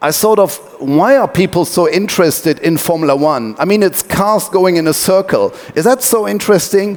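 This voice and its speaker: A man's high voice in a German accent, lively in intonation and very even in loudness, at a moderate pace with hardly any pauses and noticeable background noise. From Germany (Wuppertal). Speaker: tech company owner, sailing team co-founder. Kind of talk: talk to an audience, storytelling. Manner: hesitant, many fillers.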